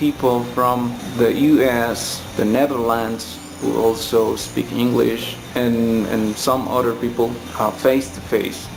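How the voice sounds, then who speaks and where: Fairly slow, monotone, flat speech from a man with a Colombian accent, with audible room echo and noticeable background noise. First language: Spanish. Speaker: English teacher. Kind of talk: casual tutorial talk. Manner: halting, with fillers and repeats.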